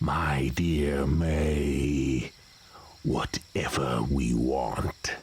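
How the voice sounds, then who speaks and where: Growling in a put-on character voice, a man speaks very deep and low at a very slow pace. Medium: audio drama. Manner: imperious, terse commands.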